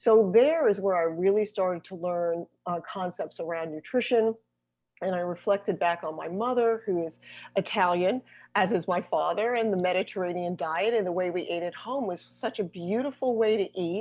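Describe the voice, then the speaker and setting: A woman with a normal speaking voice talks at a moderate pace, using medium pitch and ordinary pitch variation. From US Northeast. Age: 60s. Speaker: holistic health coach. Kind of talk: interview.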